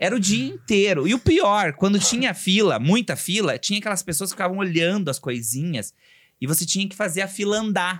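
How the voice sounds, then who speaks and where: In a very clean recording with a silent background, a man speaks at a high pitch and a fairly quick pace, his tone animated and his intonation lively. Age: 40s. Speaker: entrepreneur and aspiring comedian. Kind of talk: casual chat.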